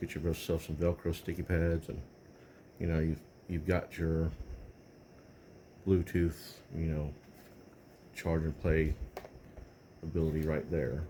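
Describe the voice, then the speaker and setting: A man's very deep, low, somewhat breathy voice in a dark, mellow tone, flat and monotone, at a fairly slow pace with long, frequent pauses. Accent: Texan. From Texas. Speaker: tech video creator. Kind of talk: casual tech review talk. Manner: halting, many fillers.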